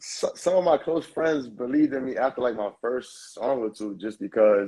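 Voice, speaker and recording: Lively intonation colors a dark, mellow tone in a New York accent. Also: man. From New York, Lower East Side. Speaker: rapper. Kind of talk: interview. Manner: halting.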